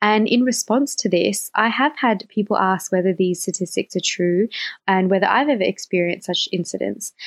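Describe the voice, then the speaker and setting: In a dry, close recording with no echo, a woman speaks at a moderate pace and medium pitch, her loudness very even and her pitch varying in an ordinary way. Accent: Australian. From Australia. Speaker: guest co-host. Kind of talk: semi-scripted podcast discussion.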